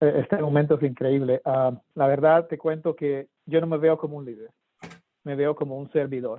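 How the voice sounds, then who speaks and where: A man with an unremarkable speaking voice talks at a fairly high pitch. His pace is moderate and his intonation fairly even. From Colombia, Cartagena. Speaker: government official for minority businesses. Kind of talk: panel discussion.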